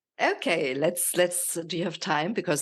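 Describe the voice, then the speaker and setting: Against a quiet background, a woman speaks with a German accent. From Germany. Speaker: nutrition coach. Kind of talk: podcast interview.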